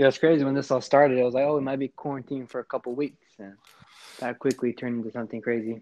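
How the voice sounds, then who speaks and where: Speaking at a very fast pace with an American accent, a man has a dark, mellow tone, medium pitch, monotone, flat intonation and big swings in loudness. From North Carolina, US. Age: 20s. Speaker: podcast co-host. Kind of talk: casual interview chat.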